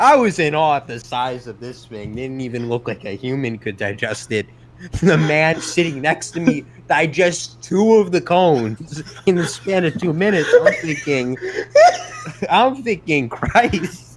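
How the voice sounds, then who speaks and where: A man with a strong Brooklyn accent speaks at a fairly slow pace with very wide pitch swings over noticeable background noise. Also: fairly high pitch for a man. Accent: Brooklyn accent, thick. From New York City. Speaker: podcast co-host. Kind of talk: casual chat. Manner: animated storytelling.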